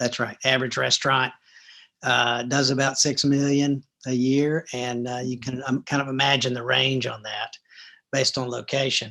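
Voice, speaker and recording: Delivered at a moderate pace, a man's voice carries a Southern US accent and a bright, sharp tone. His intonation stays flat and monotone. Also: medium pitch for a man. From US South, Atlanta, Georgia. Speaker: restaurant chain executive. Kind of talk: interview. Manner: hesitant, many fillers.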